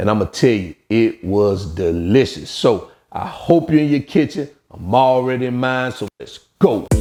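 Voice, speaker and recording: Over music in the background, a man with a Southern US accent talks at a fairly slow pace and medium pitch, with lively intonation and big swings in loudness. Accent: southern drawl. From Alabama, US South. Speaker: cooking channel host. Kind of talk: cooking tutorial. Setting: home kitchen. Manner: casual, uses fillers.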